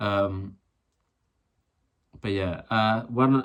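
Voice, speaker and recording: In a British accent, a man speaks at a fairly low pitch with ordinary variation. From UK. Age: 20s. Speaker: vlogger. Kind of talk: personal rant vlog. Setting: filmed alone to camera. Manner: halting, many fillers and restarts.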